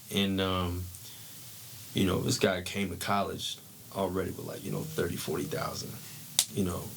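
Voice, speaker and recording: There is audible room echo and noticeable background noise. A man with an American accent and a fairly low pitch speaks at a fairly quick pace. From San Diego County, California. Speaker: former football player. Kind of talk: podcast interview, life story. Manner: casual, slangy.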